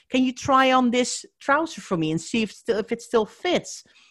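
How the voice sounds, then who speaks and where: A woman with a Dutch accent talks at a fairly high pitch with vocal fry, in a dry, close sound with no echo. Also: quiet background. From Netherlands. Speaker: professional declutterer and organizer. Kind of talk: casual interview chat.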